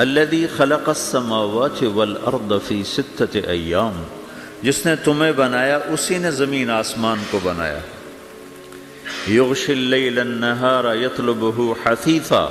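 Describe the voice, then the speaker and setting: Music plays behind the speaker. He is a man with a medium pitch and lively intonation. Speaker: Islamic preacher. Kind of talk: Islamic sermon (bayan). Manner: calm, comforting, emotional.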